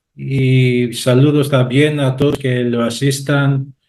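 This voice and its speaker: A man speaks at a medium pitch with a Greek accent. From Greece. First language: Greek (speaking Spanish). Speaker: university professor. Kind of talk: panel talk. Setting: video call. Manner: halting.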